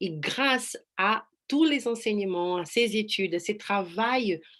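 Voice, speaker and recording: Against a quiet background, a woman talks at a very slow pace. She has a Brazilian accent. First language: Portuguese (speaking French). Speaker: life coach. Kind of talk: online presentation. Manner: halting.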